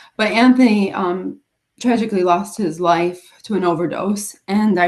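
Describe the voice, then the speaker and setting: The speaker is a woman with a Western New York accent. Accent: Western New York American. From US Northeast, Rochester, New York. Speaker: special education teacher and author. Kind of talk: interview about life story. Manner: halting, slightly impaired speech after brain injury.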